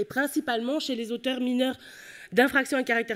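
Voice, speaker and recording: A Belgian accent at a fairly quick pace. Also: woman. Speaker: psychology professor. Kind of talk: conference talk.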